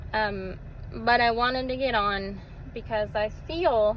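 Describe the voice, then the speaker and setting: In an American accent, a woman speaks at a fairly high pitch with fairly even intonation, and room echo is audible. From Texas. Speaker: social media vlogger. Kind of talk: casual personal testimony vlog. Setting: self-recorded video. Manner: hesitant, with fillers and repeated words.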